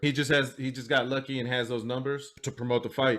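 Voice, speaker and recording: In a very clean recording with a silent background, a man speaks fairly quickly at a medium pitch with fairly even intonation, in a plain, everyday voice. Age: 40s. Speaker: podcast host. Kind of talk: interview.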